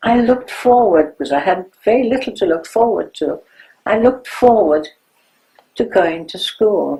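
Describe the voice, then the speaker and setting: With a German accent, a woman speaks at a fairly high pitch with lively intonation, her dark, mellow tone touched by vocal fry. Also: moderate pace. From Germany. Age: 90s. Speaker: Holocaust survivor. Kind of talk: testimony.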